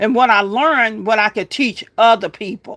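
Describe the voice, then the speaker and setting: Moderate pace and ordinary pitch variation in a very clean recording with a silent background. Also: woman. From Louisiana. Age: 60s. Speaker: homesteading livestreamer. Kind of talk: livestream monologue. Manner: earnest, preachy.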